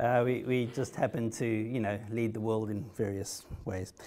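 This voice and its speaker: A man at a medium pitch, fairly slow and monotone, with flat intonation, audible room echo and noticeable background noise. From South Africa. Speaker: haemophilia patient, trial participant. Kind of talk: conference talk. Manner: hesitant, many fillers and repetitions.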